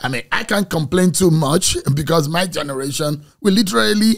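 The pitch varies in an ordinary way and the pace is moderate. The background is quiet. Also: man. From Nigeria. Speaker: podcast host. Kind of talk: interview. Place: studio. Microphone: studio mic.

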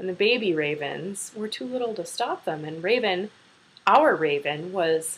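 Someone is reading aloud in a natural voice with lively intonation.

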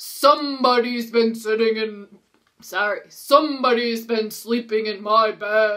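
The speaker is reading aloud in a natural voice, with fairly even intonation. The background is quiet.

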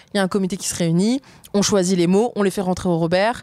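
Her delivery fairly quick, a woman speaks with ordinary pitch variation. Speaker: feminist activist and author. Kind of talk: interview conversation. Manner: animated, casual slang.

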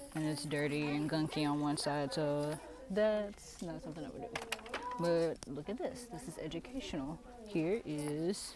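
A woman at a moderate pace, dry sound with no echo, and noticeable background noise. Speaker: thrift shopping vlogger. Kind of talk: casual vlog chat. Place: shop. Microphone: earbuds.

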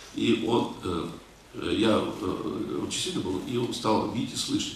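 The recording has audible room echo and light background noise. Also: man. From Russia, North Caucasus; Russia. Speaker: lecturer answering audience questions. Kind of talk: lecture with audience Q&A. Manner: halting, many filler sounds.

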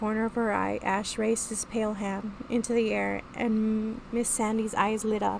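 Simple, plain reading aloud

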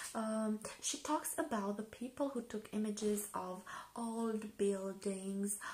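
A soft-spoken woman at a fairly high pitch and a very slow pace. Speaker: ASMR video creator, book reviewer. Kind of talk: ASMR book review. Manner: hesitant, with frequent fillers. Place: home room.

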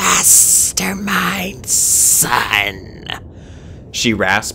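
A man's put-on character voice, creaky and raspy, at a fairly low pitch over clear background noise. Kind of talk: read story. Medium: read story. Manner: quiet, eerie.

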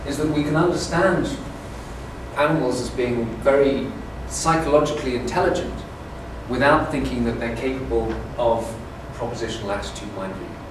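Audible room echo and noticeable background noise accompany a man talking at a fairly quick pace. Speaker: lecturer. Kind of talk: lecture. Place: classroom. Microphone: camera far.

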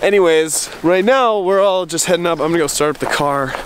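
At a fairly quick pace, a man speaks at a fairly high pitch with ordinary pitch variation over faint background noise.

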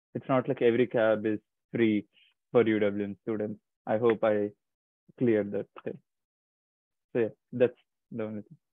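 Against a quiet background, a man talks at a moderate pace and fairly low pitch in a monotone, flat intonation, with big swings in loudness, long, frequent pauses and a dry sound with no echo. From India (Chennai, New Delhi). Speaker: graduate student. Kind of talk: online information session. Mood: friendly, reassuring. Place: home room. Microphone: earbuds.

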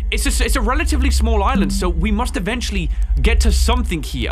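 A man talking at a very fast pace over loud music in the background. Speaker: gaming video creator. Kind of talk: gameplay commentary. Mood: puzzled, curious. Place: home room.

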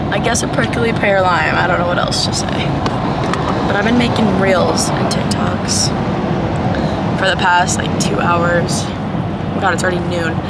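A woman at a moderate pace with ordinary pitch variation and long, frequent pauses, dry sound with no echo, loud background noise. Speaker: vlogger. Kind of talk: casual vlog chat. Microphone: phone near.

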